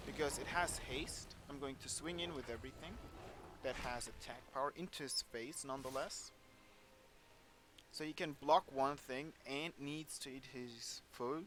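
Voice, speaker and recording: A non-native accent at a fairly slow pace, with fairly even intonation. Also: man, fairly high pitch for a man. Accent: non-native English, self-noted. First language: German. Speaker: gaming YouTuber. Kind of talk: gameplay commentary. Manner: casual.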